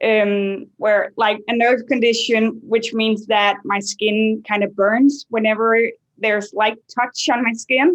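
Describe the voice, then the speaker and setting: A woman's fairly high voice at a very slow pace, with very even loudness and fairly even intonation. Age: 20s. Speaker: nursing student, chronic illness patient. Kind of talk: interview testimony. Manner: halting, many fillers.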